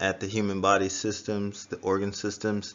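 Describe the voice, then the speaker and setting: A man speaks at a fairly slow pace and a fairly low pitch. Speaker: school science teacher. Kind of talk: recorded remote lesson. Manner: casual, informal.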